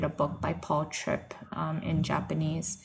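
Somewhat breathy, a woman with an American accent speaks at a fairly low pitch. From New York / New Jersey area. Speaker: missionary. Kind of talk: interview testimony.

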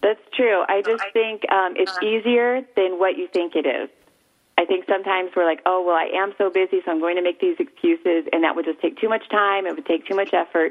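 A woman with an unremarkable speaking voice talks at a fairly quick pace, her medium-pitched delivery carried by lively intonation. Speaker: mother. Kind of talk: casual chat.

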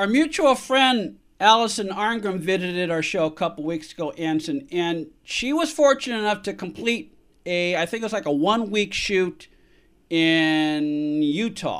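In a very clean recording with a silent background, a man with an American accent speaks at a fairly slow pace, his high pitch carried by lively intonation. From San Francisco, California. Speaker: radio talk show host. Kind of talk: casual interview.

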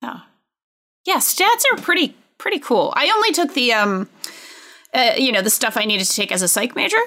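A woman's high, raised and projected voice, bright and sharp, with very wide pitch swings, a fairly quick pace and long, frequent pauses. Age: 30s. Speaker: editor-in-chief and podcast co-host. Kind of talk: casual chat.

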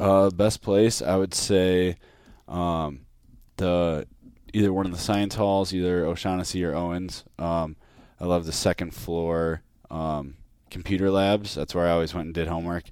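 At a moderate pace, a man with a very deep, low pitch speaks with an American accent and fairly even intonation. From Minnesota, South Saint Paul. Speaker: college football quarterback. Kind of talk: casual interview chat. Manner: hesitant, many fillers.

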